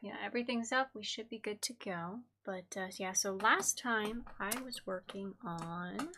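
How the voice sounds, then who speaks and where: This soft-spoken woman has a bright, sharp tone. She talks at a fairly slow pace with hardly any pauses. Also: fairly high pitch for a woman, ordinary pitch variation. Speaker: craft streamer. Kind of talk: tutorial. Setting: live stream.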